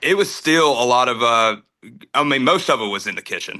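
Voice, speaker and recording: With a Southern US accent and a bright, sharp tone, a man talks at a moderate pace with ordinary pitch variation over a quiet background. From North Carolina. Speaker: country singer. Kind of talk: casual interview chat. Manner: casual, many fillers.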